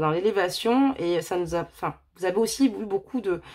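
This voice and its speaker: With a medium pitch, a woman talks at a moderate speed. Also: very clean recording, silent background. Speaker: tarot card reader. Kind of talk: tarot reading. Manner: loud.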